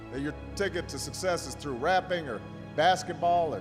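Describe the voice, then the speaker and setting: In an American accent, a man speaks at a moderate pace with music in the background. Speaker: politician giving a motivational speech to students. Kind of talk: motivational speech to a school audience.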